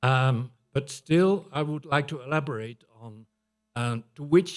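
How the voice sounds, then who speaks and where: A man with a Dutch accent speaks very slowly in a fairly high voice, his pitch varying in an ordinary way while his loudness swings widely. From Netherlands. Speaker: public health researcher. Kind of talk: conference presentation.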